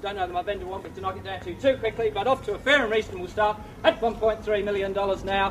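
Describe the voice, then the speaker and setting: This man's speech races along very fast. Background noise is clearly noticeable throughout. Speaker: real estate auctioneer. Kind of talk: live auction bidding call. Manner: fast, rhythmic, persuasive.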